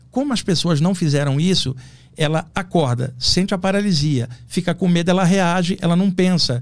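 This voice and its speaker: A man speaks high in his range, with pitch that varies in an ordinary way. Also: moderate pace, very even loudness. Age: 60s. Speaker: astral projection specialist. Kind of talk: podcast interview.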